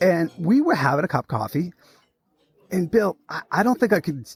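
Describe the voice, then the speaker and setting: A man speaks in a Boston accent with an animated tone and vocal fry. The sound is dry and close, with no echo. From Massachusetts (Lawrence). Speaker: podcast host. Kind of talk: casual interview chat.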